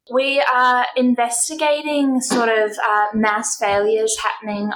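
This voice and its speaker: A woman talks in an unremarkable speaking voice. Her pace is fairly slow and her intonation fairly even. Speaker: postdoctoral researcher.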